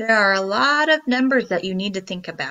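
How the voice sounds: Just a natural reading voice.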